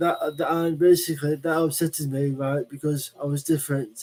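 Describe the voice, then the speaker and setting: In a Lancashire accent, the voice has a dark, mellow tone, monotone, flat intonation and a moderate pace. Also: man. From northern England. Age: 40s. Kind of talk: live stream monologue. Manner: halting.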